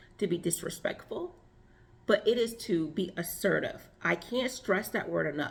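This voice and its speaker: A somewhat breathy woman's voice at a medium pitch, with lively intonation and a fairly slow pace. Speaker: relationship and femininity coach. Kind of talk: advice monologue.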